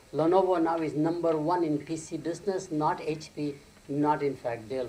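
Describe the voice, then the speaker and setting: Audible room echo and noticeable background noise around a man's fairly high pitch with ordinary variation. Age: 70s. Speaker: marketing professor. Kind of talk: conference keynote lecture.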